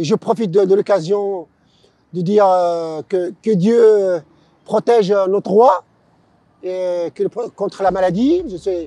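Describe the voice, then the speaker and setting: In a dry, close sound with no echo, a man with a high pitch and a dark, mellow tone talks at a very slow pace with fairly even intonation and long, frequent pauses. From Morocco, Casablanca. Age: 60s. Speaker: former boxer, long-distance cyclist. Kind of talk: interview. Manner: halting, many hesitations.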